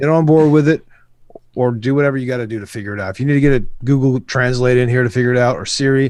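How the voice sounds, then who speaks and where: Speaking at a very fast pace, a man is heard over a quiet background in a dry sound with no echo. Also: fairly even intonation. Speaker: rapper and music production youtuber; music production youtuber. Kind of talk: casual chat. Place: home room. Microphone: video call.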